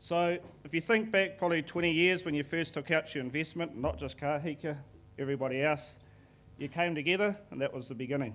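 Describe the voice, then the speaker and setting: A man with a New Zealand accent at a fairly quick pace, ordinary pitch variation, on a very clean recording with a silent background. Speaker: forestry manager presenting to investors. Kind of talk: conference presentation. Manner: fast.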